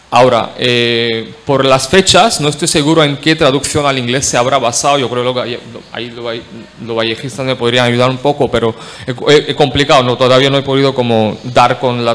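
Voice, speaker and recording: A man at a moderate pace and medium pitch, with fairly even intonation and noticeable background noise. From India, Marathi-speaking. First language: Marathi (speaking Spanish). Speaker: academic panelist. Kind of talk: conference talk. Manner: halting, many fillers.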